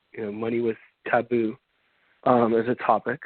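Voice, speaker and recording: Speaking at a fairly quick pace, a man has a medium-pitched voice. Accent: American. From Miami, Florida. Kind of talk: interview. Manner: halting.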